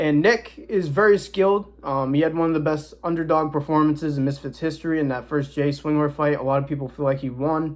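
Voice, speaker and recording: A man with a fairly high voice is heard on a very clean recording with a silent background. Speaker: boxing commentator youtuber. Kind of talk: casual predictions talk to camera. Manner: casual, stumbling at times.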